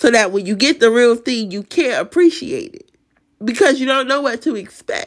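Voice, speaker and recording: Her intonation is lively and her pitch high. This woman's loudness swings widely. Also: moderate pace. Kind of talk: testimony. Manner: emotional; casual, chatty.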